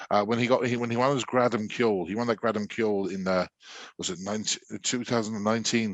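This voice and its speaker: A man with a London accent, medium pitch and a very fast pace, against a quiet background. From London, England (Irish community). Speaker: university music lecturer and traditional musician. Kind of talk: interview. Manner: halting, many repetitions and fillers.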